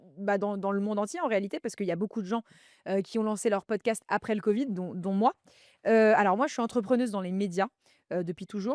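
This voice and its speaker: Recorded very cleanly with a silent background and a dry, close sound with no echo, a woman speaks at a medium pitch. She talks at a fairly quick pace with ordinary pitch variation and long, frequent pauses. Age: 30s. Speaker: podcaster and media entrepreneur. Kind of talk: casual chat.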